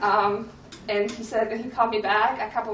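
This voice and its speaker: A woman with a Polish accent, heard with audible room echo. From Poland. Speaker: graphic designer, creative studio owner. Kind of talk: conference presentation. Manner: halting, many fillers.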